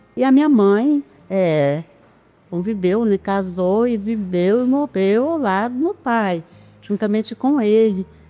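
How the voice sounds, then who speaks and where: A woman speaks at a very slow pace in a medium pitch, with a dark, mellow tone and lively intonation. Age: 60s. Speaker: parish community member, founder's daughter. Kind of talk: interview testimony.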